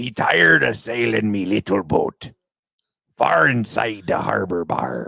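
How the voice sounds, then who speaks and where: The speaker uses a put-on character voice that sounds raspy. The pace is fairly slow. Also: man, fairly low pitch for a man. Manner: sing-song, playful.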